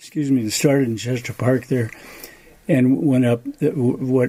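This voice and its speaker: A man speaks at a fairly slow pace with an American accent. His intonation stays fairly even over noticeable background noise. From Duluth, Minnesota (US Upper Midwest). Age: 80s+. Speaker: retired Nordic ski area owner. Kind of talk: interview. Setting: at his home.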